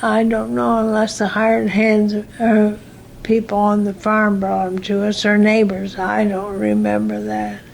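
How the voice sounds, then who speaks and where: A woman speaks at a fairly slow pace with an American accent, with audible room echo and noticeable background noise. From US Midwest. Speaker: retired teacher. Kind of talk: oral history interview. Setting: in her room.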